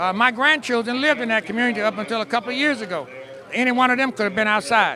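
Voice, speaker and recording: A man speaks in a raised, projected voice at an extremely high pitch and a very fast pace. His pitch variation is ordinary, with noticeable background noise. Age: 60s. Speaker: radio reporter. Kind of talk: street interview.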